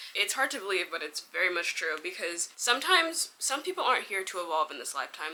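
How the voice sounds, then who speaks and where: Over noticeable background noise, a woman with a fairly low pitch talks at a fairly quick pace, her pitch moving in an ordinary way. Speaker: vlogger. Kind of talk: casual storytelling vlog.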